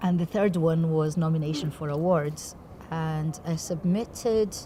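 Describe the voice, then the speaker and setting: A woman speaks in a fairly low, somewhat breathy voice. Her tone is dark and mellow. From Brazil. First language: Portuguese. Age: young. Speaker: theatre director. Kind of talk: interview. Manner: articulate.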